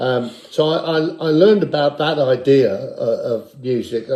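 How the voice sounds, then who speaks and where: There is noticeable background noise while a man talks. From Guernsey, Channel Islands. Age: 70s. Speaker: guitar player. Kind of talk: casual interview chat. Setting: kitchen.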